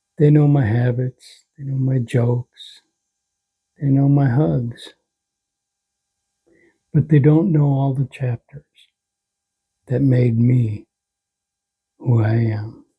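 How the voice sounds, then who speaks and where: A man's somewhat breathy, dark and mellow voice, very slow with long, frequent pauses, in a dry, close sound with no echo. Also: medium pitch for a man, ordinary pitch variation. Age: 60s. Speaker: heart attack survivor; father and grandfather. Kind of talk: personal life story to camera. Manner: reflective, heartfelt.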